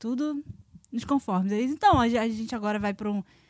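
A woman's fairly high, somewhat breathy voice with an animated tone, ordinary pitch variation, a moderate pace and a dry, close sound with no echo. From Brazil. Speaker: former theme park worker. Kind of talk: casual chat.

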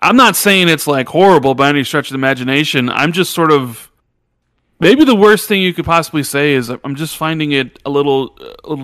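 This man's voice sits fairly high, with ordinary pitch variation and a fairly quick pace. The recording is very clean, with a silent background. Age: 40s. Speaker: gaming commentator. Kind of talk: casual chat. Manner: loud.

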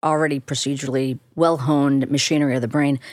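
Very deep and low in pitch, a woman with a Chicago accent talks at a fairly quick pace in an animated tone, with a dry, close sound and no echo. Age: 50s. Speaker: neuroscientist and professor. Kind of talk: casual interview. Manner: brisk, slightly blunt; animated, laughs often.

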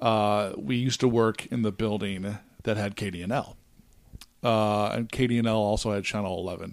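A man with an American accent and an unremarkable speaking voice talks at a moderate pace, fairly low in pitch and fairly even in intonation. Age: 40s. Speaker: hockey podcast co-host. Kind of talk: casual chat.

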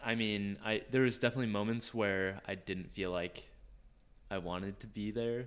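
This man has a plain, everyday voice with a fairly low pitch. He speaks at a moderate pace with fairly even intonation. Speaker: former missionary. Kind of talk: casual chat.

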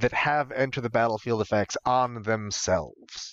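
This man has an ordinary speaking voice, medium in pitch, with an American accent. He talks at a moderate pace, and the sound is dry and close with no echo. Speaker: podcast co-host. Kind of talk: casual chat.

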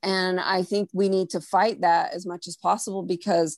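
Against a quiet background, a woman with a normal speaking voice talks at a moderate pace and medium pitch, her intonation fairly even. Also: dry, close sound with no echo. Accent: American. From US, Mexican American. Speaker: artist. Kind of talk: casual chat.

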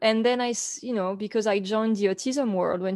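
Fairly high in pitch and fairly even in intonation, a woman speaks with a French accent against a quiet background. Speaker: author and photographer. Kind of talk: interview.

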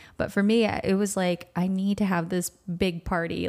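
A woman at a moderate pace, a plain, everyday voice. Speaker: podcast host. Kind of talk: casual chat. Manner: giggly.

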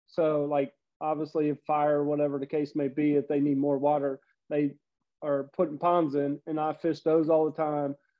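In a southwest Ohio accent, a man talks at a moderate pace with fairly high pitch and monotone, flat intonation. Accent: Midwestern American (southwest Ohio). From US Midwest, Cincinnati, Ohio. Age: 40s. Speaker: fishing YouTuber. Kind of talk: casual chat.

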